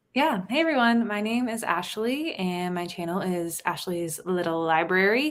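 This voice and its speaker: A woman's medium-pitched voice with lively intonation at a moderate pace, hardly any pauses, and audible room echo. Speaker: book YouTuber. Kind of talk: casual chat.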